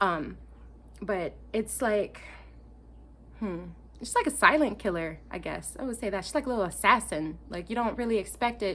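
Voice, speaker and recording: A woman's animated, fairly quick delivery with vocal fry, a medium pitch and ordinary pitch variation. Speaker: spiritual content creator. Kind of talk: casual vlog monologue. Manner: loud and animated; scattered, filler-heavy.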